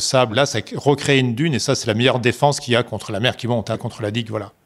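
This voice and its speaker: Talking at a very fast pace, a man uses a medium pitch and ordinary pitch variation. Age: 60s. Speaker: local resident, sailor. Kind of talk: documentary interview.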